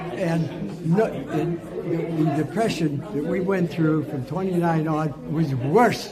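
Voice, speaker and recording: Crowd noise fills the background while a man speaks at a fairly high pitch. He goes at a very slow pace with hardly any pauses, amid audible room echo. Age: 80s+. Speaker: war veteran. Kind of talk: interview. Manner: loud; animated.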